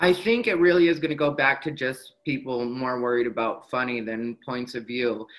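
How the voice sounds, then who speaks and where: A man with an American accent has an ordinary speaking voice at a medium pitch with ordinary pitch variation. He keeps a moderate pace with hardly any pauses. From Arizona, Mexican American. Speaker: stand-up comedian. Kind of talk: casual interview chat.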